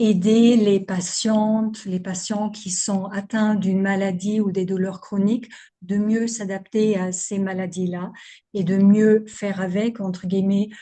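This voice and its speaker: Over a quiet background, a woman speaks very slowly in a somewhat breathy, dark, mellow voice at medium pitch, her intonation monotone and flat. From Germany. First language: German (speaking French). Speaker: physiotherapist and somatic movement practitioner. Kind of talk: interview.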